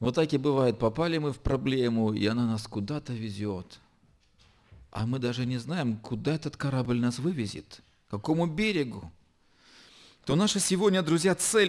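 A man's voice with very wide pitch swings and long, frequent pauses. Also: quiet background. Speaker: pastor. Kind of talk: sermon. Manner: slow. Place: church. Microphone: podium.

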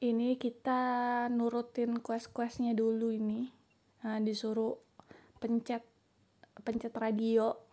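The speaker goes very slowly, with long, frequent pauses and a slight Jakarta accent. The intonation is monotone and flat, and the tone is dark and mellow. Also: woman, fairly high pitch for a woman. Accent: slight Betawi-sounding. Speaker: gaming youtuber. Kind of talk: gameplay commentary. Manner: casual, chatty; voiceover recorded after editing.

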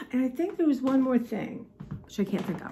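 A woman speaks at a high pitch. Faint music plays in the background. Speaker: vlogger. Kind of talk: casual vlog chat. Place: kitchen. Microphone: phone near.

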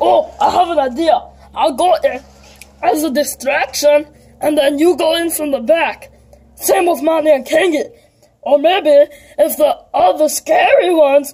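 A put-on character voice with a high pitch delivers its lines at a moderate pace. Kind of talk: toy skit character dialogue. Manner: cocky, boastful.

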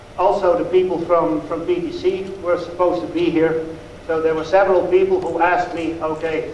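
In a Dutch accent, a man speaks at a high pitch and a moderate pace, his intonation monotone and flat. Audible room echo and light background noise fill the recording. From Netherlands. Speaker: dairy expert. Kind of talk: lecture. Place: hall. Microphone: lapel.

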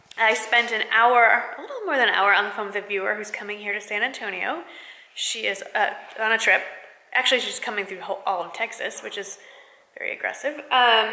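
A woman's fairly quick speech with big swings in loudness, ordinary pitch variation, and audible room echo. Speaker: lifestyle vlogger. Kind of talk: casual vlog chat. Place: home room. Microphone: phone near.

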